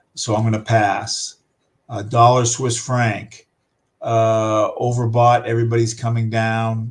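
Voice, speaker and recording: A man's medium-pitched, somewhat breathy voice, monotone and flat, at a very slow pace. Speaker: forex trading instructor. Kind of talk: live trading tutorial. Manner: halting with many fillers.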